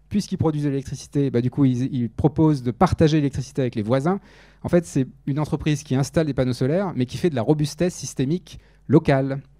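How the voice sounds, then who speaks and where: Very fast speech comes from a man with a fairly high pitch and ordinary pitch variation. His tone is dark and mellow. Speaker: research biologist, conference speaker. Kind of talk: lecture.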